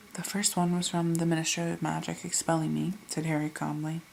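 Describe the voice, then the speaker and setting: Whispering and soft-spoken, a woman talks at a fairly quick pace. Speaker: ASMR creator / reader. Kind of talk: ASMR audiobook reading. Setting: home recording without a microphone, quiet. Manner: soft-spoken, whispery, relaxing.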